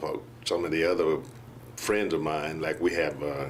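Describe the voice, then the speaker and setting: A man with an American accent talks at a moderate pace. Audible room echo surrounds his voice. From US South, Mississippi. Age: 70s. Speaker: patient. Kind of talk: testimony. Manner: halting, with many fillers.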